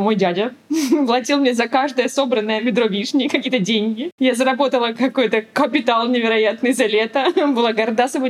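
A woman speaks at a fairly high pitch and a fairly quick pace. Her pitch variation is ordinary, and noticeable background noise is present. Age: 30s. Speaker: mother of three. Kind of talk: casual interview.

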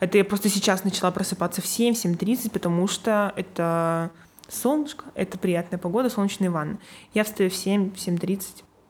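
A woman speaks in a normal speaking voice at medium pitch and a moderate pace, with ordinary pitch variation, on a very clean recording with a silent background. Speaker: graphic designer. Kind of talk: casual interview.

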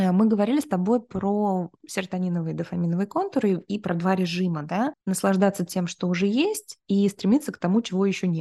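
Her tone dark and mellow, a woman speaks at medium pitch and a fairly quick pace with ordinary pitch variation. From Kyrgyzstan region, near China. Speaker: neuroscience institute founder and author. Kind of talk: interview.

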